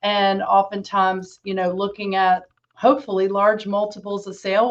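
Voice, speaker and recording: A woman speaks at a moderate pace with a slight Southern US accent and a medium pitch. Her intonation stays monotone and flat. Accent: slight Southern twang. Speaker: financial planning director, exit planning advisor. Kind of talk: panel introduction.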